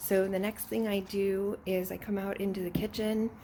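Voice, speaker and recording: Soft-spoken, a woman talks at a moderate pace and a medium pitch. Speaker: fitness vlogger. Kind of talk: casual vlog narration.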